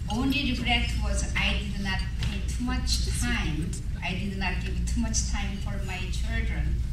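A man speaks at a fairly slow pace. Loud background noise and audible room echo fill the recording. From Korea. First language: Korean. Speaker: adoption ministry speaker. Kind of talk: speech at gala event. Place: hall.

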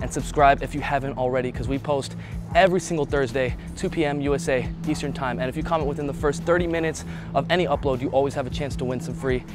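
With music in the background, a man talks at a very fast pace, the sound dry with no echo. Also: ordinary pitch variation. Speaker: fitness trainer. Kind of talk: casual vlog outro chat. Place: street. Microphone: lapel.

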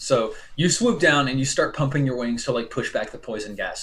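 A man speaks at a fairly quick pace. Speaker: game master. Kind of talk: tabletop role-play narration. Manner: halting, many fillers. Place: home room. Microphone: video call.

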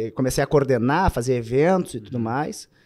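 A man is speaking. The background is quiet. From southern Brazil. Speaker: army soldier and butcher shop owner. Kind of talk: casual chat. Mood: reflective, nostalgic. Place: studio. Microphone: studio mic.

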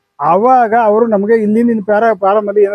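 This is a man speaking. His pitch is high. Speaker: poultry farmer. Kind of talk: interview.

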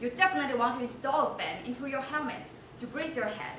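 Over noticeable background noise and audible room echo, a woman talks at a very fast pace in a high pitch with ordinary pitch variation. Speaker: presenter. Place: hall. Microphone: camera far.

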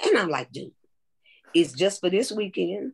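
This woman has an American accent and a medium pitch. Her voice shows vocal fry, and the sound is dry and close with no echo. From East Los Angeles. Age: 70s. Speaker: vegan chef. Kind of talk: interview answer. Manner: funny, lively.

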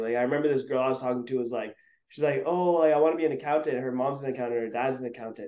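The voice carries a Montreal accent. Its tone is dark and mellow. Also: man. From Montreal, Quebec. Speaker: photographer and videographer. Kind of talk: interview. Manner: casual, filler-heavy.

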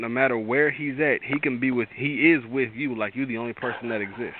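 A man's animated, medium-pitched voice at a fairly quick pace, with ordinary pitch variation

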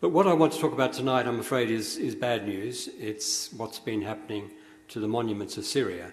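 With an Australian accent, a man talks fairly quickly at a medium pitch with lively intonation over noticeable background noise. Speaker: retired diplomat and historian. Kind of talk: lecture. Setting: stage with audience.

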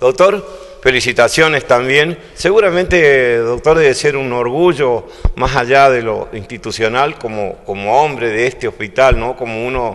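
He has an ordinary speaking voice, and the man's pitch is medium. His pace is fairly slow, with ordinary pitch variation. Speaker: local TV host. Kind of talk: local TV magazine show and interviews.

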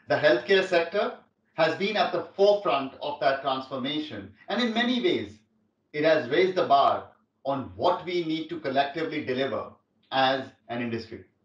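Here a man talks at a fairly high pitch with lively intonation. His pace is moderate, and the room echo is audible. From India. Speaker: tech company executive. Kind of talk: keynote speech. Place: home room.

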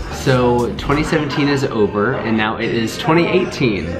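A man talks at a moderate pace. Clear music can be heard behind him. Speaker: nurse vlogger. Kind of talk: casual vlog chat. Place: home room.

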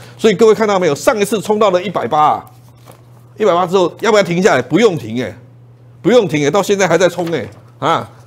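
A high-pitched man talks at a very fast pace. His tone is animated and his intonation lively. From Taiwan. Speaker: stock market commentator. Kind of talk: investment TV show pitch. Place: studio. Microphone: lapel.

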